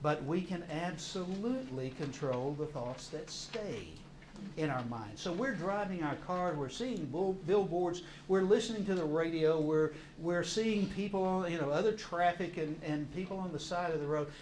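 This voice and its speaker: Amid noticeable background noise and audible room echo, a man talks at a moderate pace in a high pitch with ordinary pitch variation. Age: 60s. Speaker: counselor and course teacher. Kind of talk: lecture. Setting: church classroom with audience. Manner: halting, repeats words.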